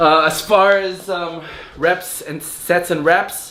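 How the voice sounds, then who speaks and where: The speaker is a man. Noticeable background noise runs behind him. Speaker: fitness youtuber. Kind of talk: tutorial. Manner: halting; casual, unscripted.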